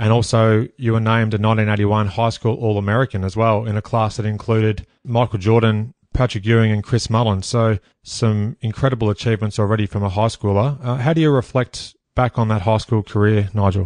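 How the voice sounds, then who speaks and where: With an Australian accent, a man talks at a fairly quick pace with hardly any pauses, fairly low in pitch and fairly even in intonation. His loudness stays very even, and the sound is dry and close with no echo over a quiet background. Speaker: podcast host. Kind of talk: interview.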